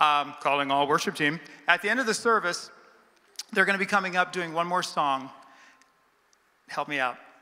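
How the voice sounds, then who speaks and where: This man speaks loudly in a high pitch with a bright, sharp tone. Long pauses come often. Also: ordinary pitch variation, moderate pace. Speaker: pastor. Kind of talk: church announcements. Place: church. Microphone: handheld.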